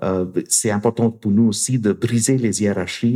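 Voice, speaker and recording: With a non-native accent, a man speaks slowly-ish in a dark, mellow tone at a medium pitch, fairly slow in pace and fairly even in intonation. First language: not French (speaking French). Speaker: university professor and researcher. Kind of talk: interview conversation. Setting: studio in Montreal. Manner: halting with frequent repetitions.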